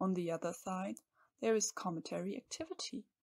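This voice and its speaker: With an ordinary speaking voice, a woman talks at a moderate pace and medium pitch, her intonation lively and the sound dry and close with no echo. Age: 20s. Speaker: PhD student. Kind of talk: scripted narration.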